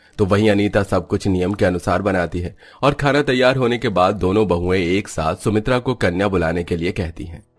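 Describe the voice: With a low pitch and ordinary pitch variation, a man speaks at a fairly quick pace with few pauses.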